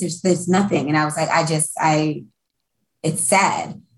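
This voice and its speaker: With fairly even intonation, the speaker sounds somewhat breathy. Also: woman. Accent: American. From Brooklyn, New York, later Florida. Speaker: music industry event producer. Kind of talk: casual chat.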